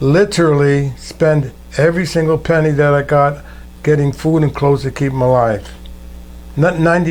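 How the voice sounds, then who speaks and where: Fairly high-pitched and somewhat breathy, a man speaks at a fairly quick pace with fairly even intonation. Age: 80s+. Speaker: war veteran. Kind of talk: oral history interview. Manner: conversational storytelling.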